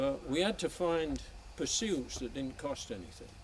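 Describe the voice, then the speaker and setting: The man's fairly slow speech, with ordinary pitch variation, comes through noticeable background noise. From northern England, Sheffield. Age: 70s. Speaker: trail donor. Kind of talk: speech at outdoor event.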